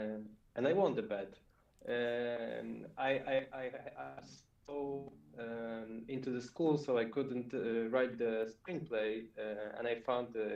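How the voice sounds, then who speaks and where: With a non-native accent, a man speaks at a very slow pace in a medium pitch and fairly even intonation. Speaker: filmmaker. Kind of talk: video call panel interview. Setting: video call. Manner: halting, pauses to find words.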